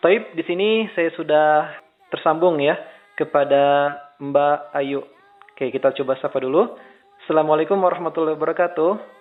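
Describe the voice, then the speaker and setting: Over background music, a man with a fairly high pitch talks at a moderate pace with ordinary pitch variation. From Indonesia, West Java (Bandung). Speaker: Islamic preacher and interviewer. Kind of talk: remote interview. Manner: casual.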